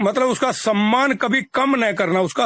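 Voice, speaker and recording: Recorded very cleanly over a silent background, a man's high-pitched voice has a dry, close sound with no echo. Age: 60s. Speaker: network marketing leader. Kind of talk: motivational speech. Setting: stage with audience. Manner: animated.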